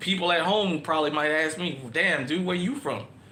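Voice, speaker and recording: Recorded with audible room echo and noticeable background noise, a man talks at a moderate pace. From New Orleans, uptown. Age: 40s. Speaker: online show host. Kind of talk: casual monologue livestream.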